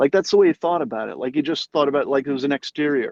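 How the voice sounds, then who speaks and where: This man uses a normal speaking voice, fairly high in pitch, with an American accent. The sound is dry and close with no echo, and his pitch varies in an ordinary way. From New York City. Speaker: guest on a live stream. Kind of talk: casual conversation.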